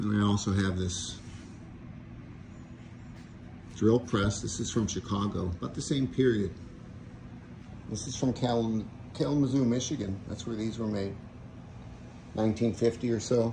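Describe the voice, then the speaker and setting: Ordinary pitch variation at a moderate pace, with long, frequent pauses over noticeable background noise. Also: man, fairly low pitch for a man. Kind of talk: casual show-and-tell. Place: workshop. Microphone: phone near.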